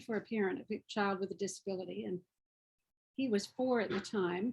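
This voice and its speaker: With an American accent, a woman speaks at a fairly high pitch, somewhat breathy. Her pace is moderate and her intonation fairly even. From US South. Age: 70s. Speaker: parent advocate, program coordinator. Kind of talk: webinar presentation.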